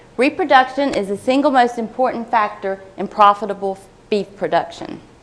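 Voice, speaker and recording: Over noticeable background noise, a woman talks in a fairly high pitch with lively intonation. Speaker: agricultural researcher. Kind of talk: conference talk. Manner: fast.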